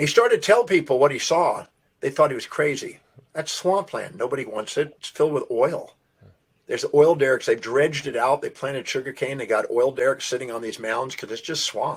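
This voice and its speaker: A fairly high-pitched man with an American accent, somewhat breathy, at a fairly quick pace, with ordinary pitch variation and big swings in loudness. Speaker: self-development speaker. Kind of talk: podcast interview storytelling.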